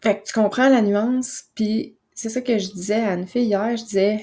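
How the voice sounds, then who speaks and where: Soft-spoken and dark, mellow in tone, a woman with a Quebec accent talks at a moderate pace with ordinary pitch variation on a very clean recording over a silent background. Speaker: naturopath and podcast host. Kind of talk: casual podcast monologue. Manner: soft, calm; hesitant with fillers.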